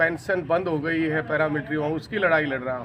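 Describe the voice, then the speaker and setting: Through noticeable background noise, a man's voice comes across. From Haryana, India. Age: 60s. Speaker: retired paramilitary officer and local election candidate. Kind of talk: interview.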